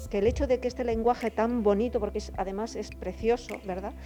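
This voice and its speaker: Music plays behind a woman whose fairly high voice keeps a fairly even intonation. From El Bierzo, near Cacabelos, Spain. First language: Galician (Bierzo variety) (speaking Spanish). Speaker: guest on local culture. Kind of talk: interview.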